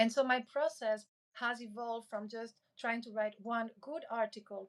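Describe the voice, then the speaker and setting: A woman speaks with a non-native accent, her fairly high voice held to a fairly even intonation. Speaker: creator and public speaking coach. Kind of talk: podcast interview.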